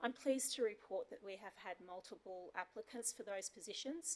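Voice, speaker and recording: A woman with an Australian accent speaks at medium pitch and a moderate pace. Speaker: council manager. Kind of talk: formal report at council meeting.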